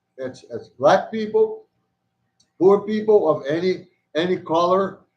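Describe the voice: The voice moves at a fairly slow pace with lively intonation. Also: man, high pitch for a man.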